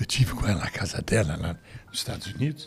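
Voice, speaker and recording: With music playing behind him, a man talks moderately fast and with lively intonation. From Brazil (grew up after emigrating as a child). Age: 80s+. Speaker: Holocaust survivor. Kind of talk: testimony. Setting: studio.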